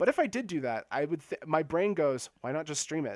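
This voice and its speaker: On a very clean recording with a silent background and a dry, close sound with no echo, a man talks at a fairly quick pace with ordinary pitch variation. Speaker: video game streamer. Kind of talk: casual live stream chat. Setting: live stream. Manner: fast.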